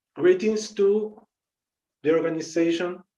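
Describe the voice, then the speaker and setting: With an Argentine accent, a man speaks fairly slowly in a dark, mellow tone. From Argentina. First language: Spanish. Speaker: yoga teacher. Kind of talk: lecture. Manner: halting.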